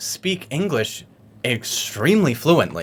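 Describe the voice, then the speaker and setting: Somewhat breathy and fairly high-pitched, a man speaks with an American accent and very wide pitch swings. His pace is fairly slow. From United States. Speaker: podcast host. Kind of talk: casual interview chat.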